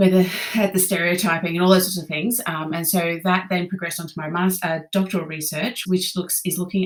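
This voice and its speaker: A fairly low-pitched woman's voice with an Australian accent. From Australia, Brisbane, Queensland. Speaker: conductor and music teacher. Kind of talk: podcast interview. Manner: hesitant, many fillers.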